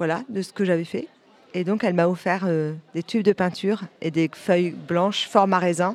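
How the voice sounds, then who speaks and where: A woman's voice with ordinary pitch variation. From Normandy, France (Calvados, near Caen). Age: 50s. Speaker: visual artist and photographer. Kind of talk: interview.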